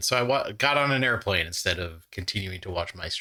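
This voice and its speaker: On a very clean recording with a silent background, a man with a bright, sharp tone talks at a fairly quick pace in a Midwestern US accent. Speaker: trivia channel host. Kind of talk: casual play-along commentary. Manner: animated.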